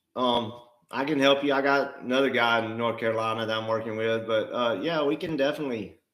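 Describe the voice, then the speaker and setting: A man speaks with an Alabama accent at a fairly quick pace, using ordinary pitch variation. Audible room echo surrounds his voice. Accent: Southern (Alabama). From US South, Alabama (Mobile). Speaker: real estate investor and livestream co-host. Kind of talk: live stream Q&A. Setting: livestream.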